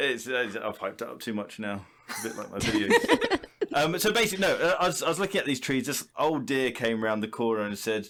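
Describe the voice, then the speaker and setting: At a fairly quick pace, a man with an English accent and medium pitch speaks with very wide pitch swings. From England. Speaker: YouTuber. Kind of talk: casual chat. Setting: video call.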